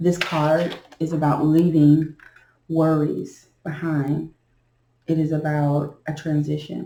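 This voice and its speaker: A woman speaks very slowly in a very deep, low voice, her dark, mellow tone somewhat breathy and her intonation flat and monotone. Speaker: beginner tarot reader. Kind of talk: tarot reading.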